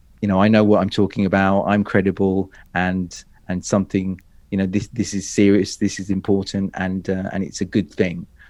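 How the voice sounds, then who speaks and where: A man's fairly low voice at a fairly quick pace. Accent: British. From Great Britain. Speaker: public speaking coach. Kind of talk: interview. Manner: animated.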